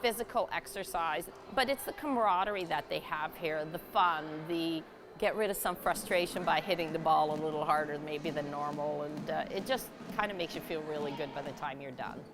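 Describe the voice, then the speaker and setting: A woman's fairly low voice with a Dutch accent, ordinary pitch variation and a fairly quick pace, with music in the background. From Netherlands. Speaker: exercise instructor. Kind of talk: exercise class instruction and interview. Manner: energetic commands.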